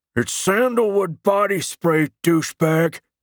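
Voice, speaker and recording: Shouting in a put-on character voice, a man uses a high pitch with ordinary pitch variation at a fairly slow pace. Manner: shouted, indignant.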